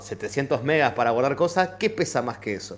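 At a fairly quick pace, a man speaks with a fairly high pitch and lively intonation. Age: 40s. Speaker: teacher. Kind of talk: casual chat. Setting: live stream. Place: home room.

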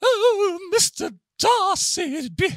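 Shaky and female-sounding, this put-on character voice sits at an extremely high pitch for a woman. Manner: flirtatious, primly scolding.

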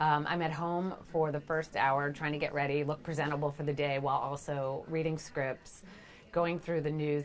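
Over light background noise, a woman with a very deep, low pitch talks fairly quickly in a monotone, flat intonation. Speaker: TV executive producer. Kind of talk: interview. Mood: upbeat, friendly. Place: office.

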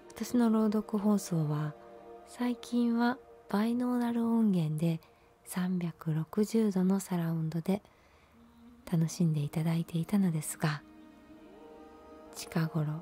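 Long, frequent pauses interrupt the fairly slow delivery. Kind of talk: ASMR storytelling reading in Japanese. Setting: binaural microphone recording. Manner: soft, intimate, binaural close-mic reading.

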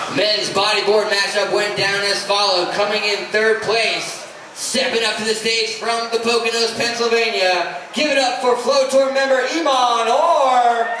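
Speech flows at a moderate pace with hardly any pauses, over light background noise and audible room echo. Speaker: event announcer. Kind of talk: awards announcement. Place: hall.

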